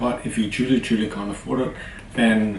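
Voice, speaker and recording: Amid noticeable background noise and audible room echo, a man talks at a fairly quick pace in a fairly low voice. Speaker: YouTuber. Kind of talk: tutorial. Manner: fast.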